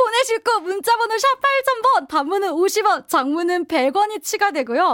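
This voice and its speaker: The pace is very slow with hardly any pauses, and the pitch swings very widely. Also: woman, extremely high pitch for a woman. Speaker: pilates instructor and radio fitness guest. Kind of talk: casual chat and exercise instruction. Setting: studio.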